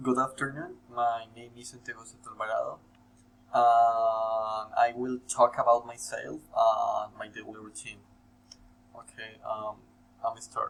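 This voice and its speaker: Speaking at a fairly slow pace with a Spanish accent, a man's voice shows big swings in loudness. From Colombia. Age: 18. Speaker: university student. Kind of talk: scripted self-introduction for class. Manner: halting, many fillers.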